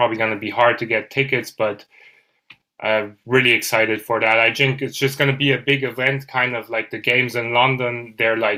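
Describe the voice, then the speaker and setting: Speaking in a German accent, a man has a bright, sharp tone, a medium pitch and monotone, flat intonation. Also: fairly quick pace. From Germany. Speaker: football podcaster. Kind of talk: casual chat.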